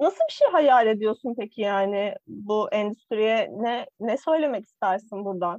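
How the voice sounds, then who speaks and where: A woman's fairly high voice with ordinary pitch variation, fairly slow and with hardly any pauses, in a dry, close sound with no echo. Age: 20s. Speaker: podcast co-host. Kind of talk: casual chat. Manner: animated.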